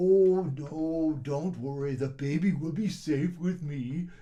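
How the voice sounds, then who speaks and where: A man puts on a character voice with a fairly high pitch. He speaks at a fairly slow pace with fairly even intonation. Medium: read story. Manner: hesitant, bumbling.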